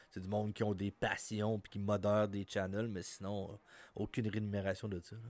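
A man's fairly low voice, monotone and flat, at a moderate pace in a very clean recording with a silent background. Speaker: guest friend. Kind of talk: casual chat.

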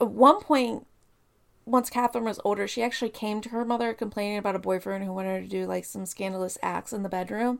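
A woman talks at a very fast pace with fairly even intonation. The recording is very clean, with a silent background. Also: medium pitch for a woman. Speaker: true crime podcast co-host. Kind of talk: storytelling case narration.

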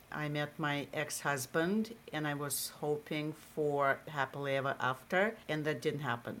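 A woman with a Russian accent speaks at a very slow pace. Her pitch is very deep and low. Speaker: marketing executive. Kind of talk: interview.

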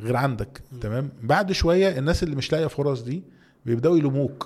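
A man's dark, mellow, somewhat breathy voice at a very fast pace, with ordinary pitch variation. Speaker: entrepreneur and CEO. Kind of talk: interview.

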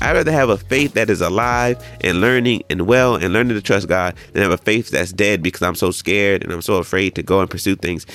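The voice has a warm tone and moves at a very fast pace. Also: man. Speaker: preacher. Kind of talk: sermon on a Bible passage, teaching and exhorting a congregation. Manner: conversational, warm and encouraging, with filler words and laughter.

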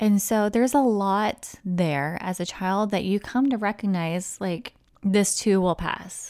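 With a General American accent, a woman talks in a normal speaking voice at medium pitch with ordinary pitch variation, in a very clean recording with a silent background. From US, military family moving often. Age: 40s. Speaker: podcast host, life coach. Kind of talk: casual solo monologue. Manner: relaxed, laughs often.

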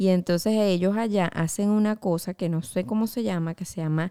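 In a Spanish accent, the dark, mellow voice moves at a moderate pace with ordinary pitch variation, recorded very cleanly against a silent background with a dry, close sound and no echo. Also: woman. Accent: Spanish-sounding. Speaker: podcast co-host. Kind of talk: casual chat.

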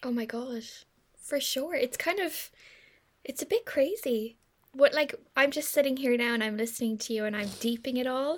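In an Irish accent, a woman talks at a moderate pace. Her pitch is high, with ordinary variation. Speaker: podcast host, marketing agency. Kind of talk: casual chat.

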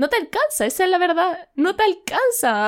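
In a Chilean accent, the speaker moves at a fairly quick pace on a very clean recording with a silent background. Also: woman. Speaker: podcast co-host. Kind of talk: casual chat.

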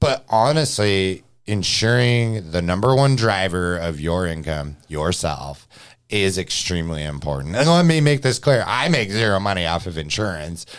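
At a moderate pace, a man speaks with a very deep, low pitch and very wide pitch swings on a very clean recording with a silent background. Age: 30s. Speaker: podcast host and real estate mortgage professional. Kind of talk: casual chat. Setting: studio.

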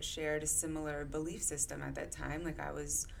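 Amid noticeable background noise and audible room echo, a woman with an American accent talks at a fairly quick pace in a very deep, low pitch. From Connecticut. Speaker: therapist. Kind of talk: casual chat.

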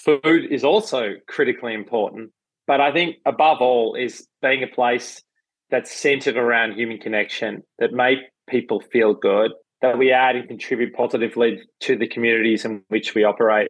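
Moderate pace and fairly even intonation from a man. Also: medium pitch for a man. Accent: Australian. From Melbourne, Australia. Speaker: entrepreneur, cafe chain founder. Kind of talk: interview.

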